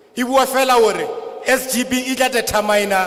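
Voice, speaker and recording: Amid noticeable background noise and audible room echo, a man speaks at an extremely high pitch with fairly even intonation. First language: Sesotho. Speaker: school governing body representative. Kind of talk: public hearing testimony. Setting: public hearing with translator.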